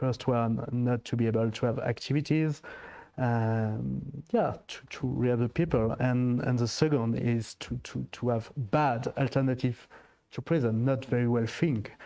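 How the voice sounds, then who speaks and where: A man's medium-pitched, dark and mellow voice with a French accent, fairly even intonation and a moderate pace. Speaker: diplomat. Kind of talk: panel discussion. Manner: halting.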